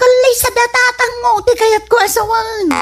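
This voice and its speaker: Over clear background noise, a woman uses a put-on character voice at an extremely high pitch, speaking at a moderate pace with monotone, flat intonation. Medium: audio drama. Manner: cheeky, teasing.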